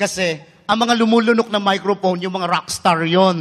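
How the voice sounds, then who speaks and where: A man's voice at a fairly quick pace. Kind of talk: sermon. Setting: church Mass. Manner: emphatic.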